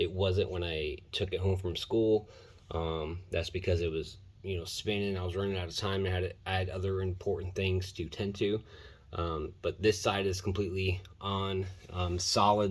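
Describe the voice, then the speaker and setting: A very deep, low, somewhat breathy male voice in a flat monotone at a moderate pace. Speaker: car hobbyist. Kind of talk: casual talk to camera.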